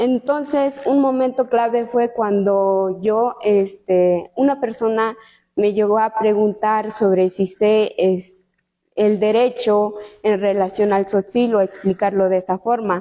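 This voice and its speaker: Her voice is fairly high, with a dark, mellow tone and fairly even intonation. The woman talks at a very slow pace and a very even loudness. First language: Tsotsil (speaking Spanish). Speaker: law student. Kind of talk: book presentation talk. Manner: hesitant, many fillers.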